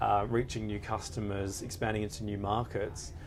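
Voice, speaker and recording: A man talks at a fairly low pitch, his voice carrying audible room echo. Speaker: lawyer. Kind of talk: panel discussion. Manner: hesitant, many fillers.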